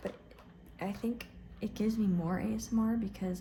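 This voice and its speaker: A soft-spoken woman is talking. Her intonation is monotone and flat. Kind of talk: casual talk to camera.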